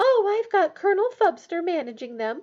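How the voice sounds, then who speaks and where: A woman puts on a squeaky character voice at an extremely high pitch. She speaks at a moderate pace with very wide pitch swings. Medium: read story. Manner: booming, barking, domineering.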